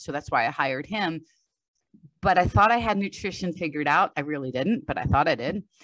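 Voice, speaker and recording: At a very fast pace, a woman talks in a fairly low pitch. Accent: American. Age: 60s. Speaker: strength coach. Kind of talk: podcast interview.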